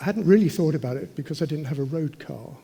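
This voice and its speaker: A man speaks in a southern English accent. His voice is somewhat breathy. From London, England. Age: 80s+. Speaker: racing driver. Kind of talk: panel discussion.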